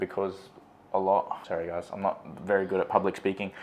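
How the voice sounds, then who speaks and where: This voice has an Australian accent. It belongs to a man. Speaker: vlogger. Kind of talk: casual chat. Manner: loud.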